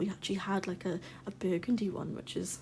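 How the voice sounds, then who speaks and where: Somewhat breathy, a woman speaks with an English accent in a dark, mellow tone. Her intonation stays monotone and flat. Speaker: gaming YouTuber. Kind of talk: game build voice-over commentary. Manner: casual, with filler ums.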